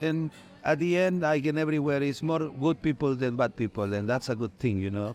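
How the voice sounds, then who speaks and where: This man talks at a fairly quick clip in a Mexican accent, his fairly high voice rising and falling in an ordinary way. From Mexico. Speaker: Mexican immigrant interviewee. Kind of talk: interview.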